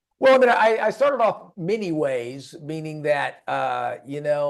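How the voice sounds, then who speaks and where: A man speaks at a moderate pace with a fairly high pitch and lively intonation. His is a plain, everyday voice. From Florida. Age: 60s. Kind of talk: podcast interview.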